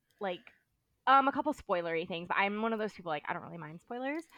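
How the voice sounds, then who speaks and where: A woman with an American accent, an animated, bright, sharp tone and lively intonation, in a dry, close sound with no echo. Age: 30s. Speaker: bar manager and podcaster. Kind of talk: casual chat. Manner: animated, frequent 'like' fillers.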